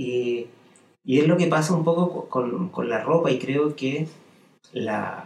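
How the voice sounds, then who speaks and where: Using lively intonation, a man speaks at a very slow pace. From Chile, Santiago. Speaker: fashion designer and tailoring teacher. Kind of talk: casual interview. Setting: studio.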